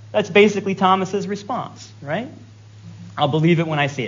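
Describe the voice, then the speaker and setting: A man's high-pitched voice with lively intonation at a moderate pace, in audible room echo. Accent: American. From Virginia. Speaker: guest preacher. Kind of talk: sermon.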